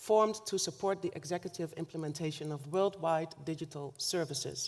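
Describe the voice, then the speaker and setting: A woman talks at a moderate pace with a Dutch accent. Her pitch varies in an ordinary way. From Netherlands, north Limburg. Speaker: government official, keynote speaker. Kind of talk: keynote speech. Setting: conference stage with audience. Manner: formal.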